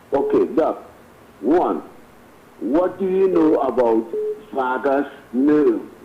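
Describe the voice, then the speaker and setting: A man's fairly high voice, very slow with long, frequent pauses, lively intonation and very even loudness, over noticeable background noise. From Trinidad, San Fernando. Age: 70s. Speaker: caller. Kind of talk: phone-in question. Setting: phone call. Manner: halting, repetitive.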